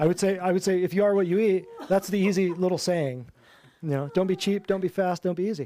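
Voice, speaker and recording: A man's high voice in an American accent, very fast and animated, with ordinary pitch variation and noticeable background noise. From Michigan. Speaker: natural health practitioner. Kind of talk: class talk to a live audience. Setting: office classroom with audience.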